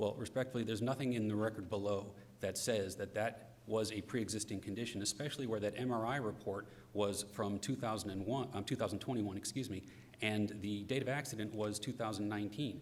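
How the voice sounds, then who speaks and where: A man's fairly low voice at a very fast pace, fairly even in intonation, with audible room echo. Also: very even loudness. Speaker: lawyer. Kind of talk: courtroom oral argument. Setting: courtroom.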